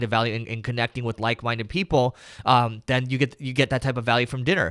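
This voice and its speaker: Recorded very cleanly against a silent background, a man talks at a very fast pace. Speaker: marketing entrepreneur hosting live Q&A. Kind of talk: live stream Q&A. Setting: live video stream. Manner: casual, with fillers and restarts.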